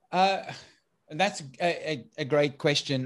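A man talks at a moderate pace with lively intonation. The recording is very clean and the background silent. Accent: South African. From South Africa. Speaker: IT business consultant. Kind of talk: interview. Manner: halting.

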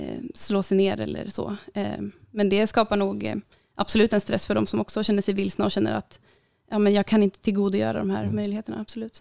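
A woman talks at a fairly quick pace. The recording is very clean, with a silent background and a dry, close sound with no echo. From Uppsala, Sweden. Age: 20s. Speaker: student and middle-distance runner. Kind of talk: podcast interview.

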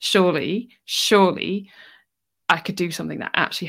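Showing ordinary pitch variation, a woman speaks in a normal speaking voice. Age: 30s. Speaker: cancer rehab instructor. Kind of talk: interview.

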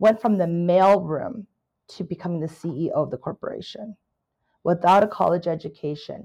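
A woman at medium pitch with an American accent, moderate pace, ordinary pitch variation and a quiet background. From California, US. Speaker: business owner, CEO of a consulting firm. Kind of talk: interview.

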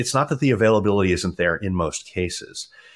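With an American accent and an unremarkable speaking voice, a man speaks at a moderate pace and a fairly low pitch, his intonation lively on a very clean recording with a silent background. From US East Coast, Maryland. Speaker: nutrition and fitness coach, former dentist. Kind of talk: casual interview chat.

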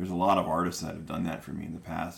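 In an American accent, a man talks with a very deep, low pitch and fairly even intonation, and audible room echo surrounds him. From Chicago area, Illinois. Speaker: podcast host. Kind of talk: casual chat.

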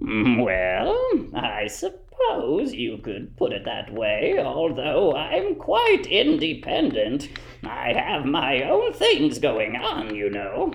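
A man's cartoonish character voice at a very slow pace, with clear background noise. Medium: puppet show. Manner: whimsical, playful, self-assured.

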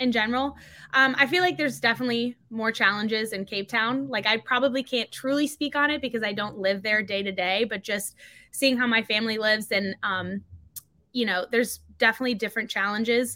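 Fairly high and bright, sharp in tone, a woman speaks with an American accent. Her pace is fairly quick and her pitch variation ordinary. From US South, North Carolina. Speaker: CrossFit athlete. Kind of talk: casual chat.

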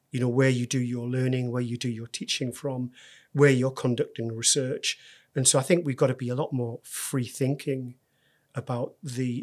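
A man with a northeast English accent speaks at a moderate pace in a medium pitch, his intonation flat and monotone. The recording is very clean, with a silent background. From northeast England. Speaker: university executive. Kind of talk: interview.

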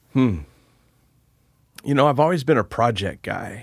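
Against a silent background on a very clean recording, a man speaks at a fairly slow pace with a medium pitch, lively intonation and a slightly husky edge.

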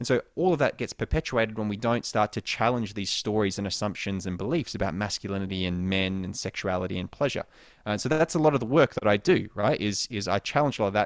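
Fairly low-pitched man at a very fast pace with hardly any pauses, on a very clean recording with a silent background and a dry, close sound with no echo. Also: ordinary pitch variation. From Australia. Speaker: sex coach. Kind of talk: interview. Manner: casual.

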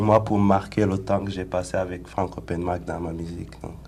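The voice carries vocal fry and lively intonation. Room echo is audible. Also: man. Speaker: rapper. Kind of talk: radio interview.

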